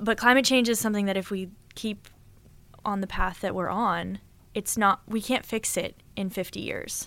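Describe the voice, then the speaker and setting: A woman with a General American accent speaks at a moderate pace in a bright, sharp tone. Her medium pitch shows ordinary variation in a very clean recording with a silent background. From Boulder, Colorado. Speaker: pro rock climber. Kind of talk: casual interview.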